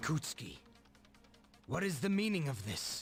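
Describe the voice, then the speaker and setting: Using a put-on character voice, a man speaks at a moderate pace in a raspy, fairly high pitch. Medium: video game. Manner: stern, commanding.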